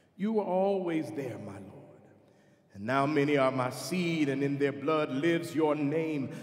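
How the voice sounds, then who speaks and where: A man speaks in a solemn tone over noticeable background noise. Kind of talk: spoken prayer within a choral work, solemn dying-elder monologue. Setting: concert performance, music recording. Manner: solemn, slow, reverent, heartfelt.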